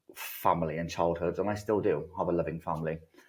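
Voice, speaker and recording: Over a quiet background, a man speaks with a British accent. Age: 30s. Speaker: recovering addict sharing his story. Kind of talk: testimony.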